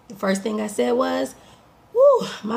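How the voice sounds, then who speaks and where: Noticeable background noise surrounds a woman speaking at a moderate pace in an animated tone. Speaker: life coach. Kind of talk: motivational talk.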